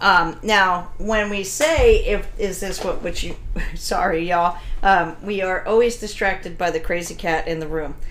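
A woman with an American accent speaks at a moderate pace in a medium pitch with ordinary pitch variation. Noticeable background noise is present. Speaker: dog trainer and podcast host. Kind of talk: casual podcast chat. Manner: loud, blunt.

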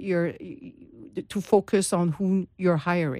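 In a very clean recording with a silent background, the words come fairly slowly. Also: woman. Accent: Quebec. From Quebec, Montreal. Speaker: HR consultant and author. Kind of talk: interview. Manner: halting.

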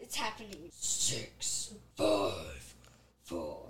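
A raspy, put-on character voice. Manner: calm countdown.

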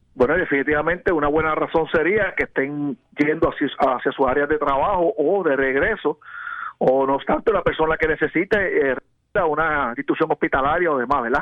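A man talks at a fairly quick pace in a normal speaking voice, with fairly high pitch and ordinary pitch variation. His loudness stays very even. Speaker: police lieutenant. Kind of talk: radio interview.

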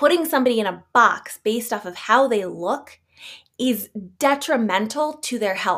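At a moderate pace, a woman with an ordinary speaking voice talks in a fairly high pitch with lively intonation. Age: 30s. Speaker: podcast host and aromatherapist. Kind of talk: solo podcast talk.

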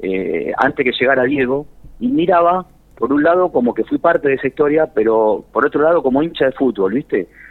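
With a plain, everyday voice, a man talks at a moderate pace in a fairly high pitch and lively intonation. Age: 50s. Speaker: tango singer. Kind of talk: interview.

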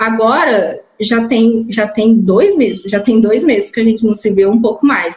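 A woman with a fairly high pitch speaks at a fairly slow pace, with hardly any pauses. Her loudness stays very even, and her pitch varies in an ordinary way. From interior of São Paulo state, Brazil (Ituverava). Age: 20s. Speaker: biomedical scientist. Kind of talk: interview testimony. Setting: video call. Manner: halting.

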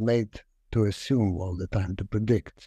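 Over a quiet background, a man with a Lithuanian accent speaks in a dark, mellow tone with ordinary pitch variation. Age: 60s. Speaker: actor and communication lecturer. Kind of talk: casual interview. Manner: halting, hesitant, many fillers.

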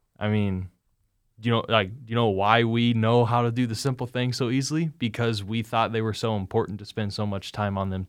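A man with an American accent has a plain, everyday voice at medium pitch, speaking at a fairly quick pace with fairly even intonation. His loudness swings widely on a very clean recording with a silent background. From Indianapolis, Indiana, US Midwest. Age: 20s. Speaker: college football player and podcast host. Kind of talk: interview conversation.

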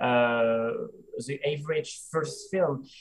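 A man with a French accent speaks in a fairly high, somewhat breathy voice with ordinary pitch variation. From France. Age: 30s. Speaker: film director. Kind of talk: interview. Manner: halting.

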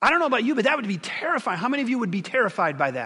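With an American accent, a man speaks in a raised, projected voice at an extremely high pitch with lively intonation. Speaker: pastor. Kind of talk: sermon. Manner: conversational.

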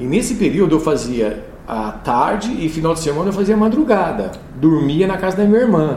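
A man's high voice swings very widely in pitch at a moderate pace. Audible room echo and noticeable background noise fill the recording. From São Paulo state, Brazil (São Joaquim). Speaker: radio announcer and programmer. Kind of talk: interview.

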